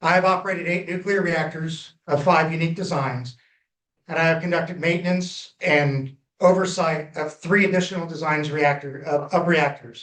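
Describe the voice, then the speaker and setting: At a moderate pace, a man talks in a high pitch with fairly even intonation. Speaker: former nuclear reactor operator, public inquiry presenter. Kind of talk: public hearing testimony. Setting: public hearing with audience.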